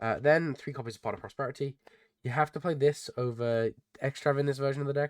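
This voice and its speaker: In a dry, close recording with no echo, a man with a fairly high pitch talks at a very fast pace with fairly even intonation. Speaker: card game YouTuber. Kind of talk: deck profile tutorial. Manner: casual, many fillers.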